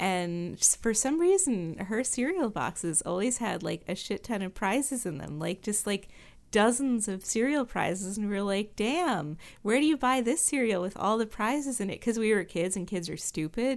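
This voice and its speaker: On a very clean recording with a silent background, a woman in an unremarkable speaking voice talks at a moderate pace with a fairly high pitch and lively intonation. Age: 30s. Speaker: podcast co-host. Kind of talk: casual chat.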